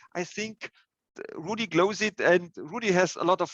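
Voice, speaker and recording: A man with a German accent, dry and close with no echo, against a quiet background. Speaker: software consultant presenter. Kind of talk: webinar Q&A. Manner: halting.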